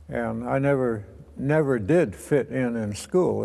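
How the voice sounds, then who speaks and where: At a very slow pace, a man talks with audible room echo. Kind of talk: testimony. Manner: halting.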